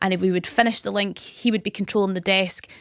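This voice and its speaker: Against a silent background, the recording is very clean. The woman speaks at a very fast pace. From Scotland, Campbeltown, Argyll. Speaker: radio presenter. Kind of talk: podcast interview.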